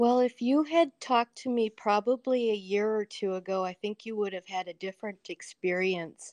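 A woman speaks at a moderate pace in an unremarkable speaking voice, fairly high-pitched with ordinary pitch variation and hardly any pauses, in a dry, close sound with no echo over a quiet background. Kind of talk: casual chat. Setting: video call.

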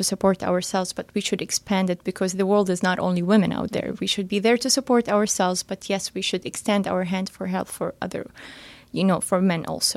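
A woman speaks at a fairly quick pace with an Arabic accent. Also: dry, close sound with no echo. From Palestine, Gaza City. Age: 20s. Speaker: business consultant. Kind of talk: interview.

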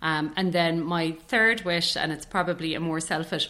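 A woman with an Irish accent speaks at a very deep, low pitch. Noticeable background noise sits behind her. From Ireland, County Tipperary. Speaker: public relations director. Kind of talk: interview conversation.

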